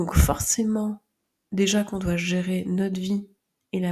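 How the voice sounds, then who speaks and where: At a fairly slow pace, a woman speaks in a somewhat breathy voice of medium pitch with fairly even intonation. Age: 30s. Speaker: podcast host and phototherapist. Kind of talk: personal monologue.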